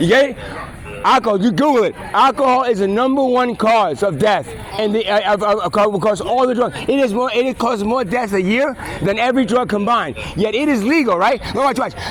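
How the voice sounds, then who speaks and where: Over noticeable background noise, a man with a New York accent speaks in a high, animated voice. He talks at a fairly quick pace with ordinary pitch variation. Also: very even loudness. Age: 50s. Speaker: street videographer. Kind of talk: heated debate. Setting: outdoors. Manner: repetitive stammering.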